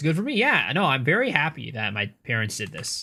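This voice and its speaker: A man with an American accent talks at a very fast pace in a bright, sharp tone. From United States. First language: Cantonese. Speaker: video game streamer. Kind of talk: live stream chat.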